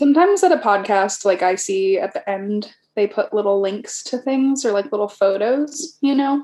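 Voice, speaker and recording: With a dark, mellow tone and high pitch, a woman speaks at a moderate pace with very wide pitch swings. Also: hardly any pauses. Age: 30s. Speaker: podcast guest, friend of host. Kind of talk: casual chat.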